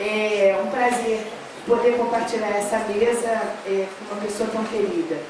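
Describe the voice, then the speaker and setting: With audible room echo and noticeable background noise, a woman is heard talking. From Rio de Janeiro, Brazil. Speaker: educator and municipal education official. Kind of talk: public speech at a forum panel. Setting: panel at a public forum. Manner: informal with frequent fillers.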